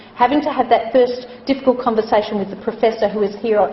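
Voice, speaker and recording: A woman at a very fast pace, her intonation fairly even, over noticeable background noise. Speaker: chief nurse and hospital executive. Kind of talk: lecture. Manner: loud.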